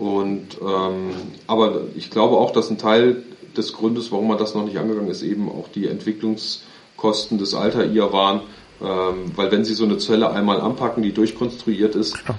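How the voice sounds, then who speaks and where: A man's fairly low voice stays monotone and flat in intonation as he talks at a moderate pace. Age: 30s. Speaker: aviation company executive. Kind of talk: interview.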